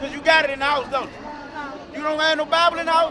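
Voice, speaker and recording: A man uses a raised, projected voice at an extremely high pitch and a very fast pace, his intonation monotone and flat. Audible room echo and crowd noise sit in the background. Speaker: street preacher. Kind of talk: street preaching. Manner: loud.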